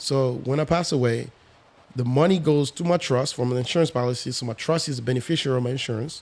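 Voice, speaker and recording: Talking at a very fast pace, a man uses a medium pitch and ordinary pitch variation. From Congo, raised in France. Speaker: real estate investor. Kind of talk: podcast interview.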